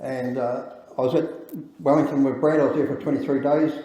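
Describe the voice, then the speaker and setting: Amid noticeable background noise and audible room echo, a man with a New Zealand accent talks very fast at a fairly high pitch. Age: 60s. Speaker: engineer and campaigner. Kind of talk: speech at public event. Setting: event with audience. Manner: halting.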